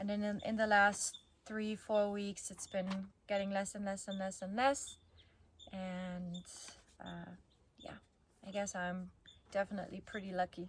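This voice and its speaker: A woman of medium pitch speaks at a fairly slow pace with monotone, flat intonation, a somewhat breathy quality, and long, frequent pauses. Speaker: vlogger. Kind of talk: personal vlog recap. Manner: casual, with fillers.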